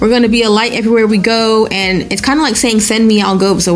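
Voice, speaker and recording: A woman talks at a very fast pace in a fairly high pitch. Noticeable background noise sits behind her. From Nigeria. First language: Yoruba. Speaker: rapper. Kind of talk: interview.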